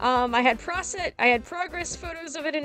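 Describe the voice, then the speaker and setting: A woman at a moderate pace over background music. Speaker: digital artist. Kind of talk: casual speedpaint voiceover commentary. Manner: rambling, casual.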